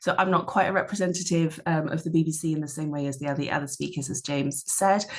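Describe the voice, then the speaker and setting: A woman's very deep, low voice with a British accent, very fast and with hardly any pauses, in fairly even intonation. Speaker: media researcher. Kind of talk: panel discussion.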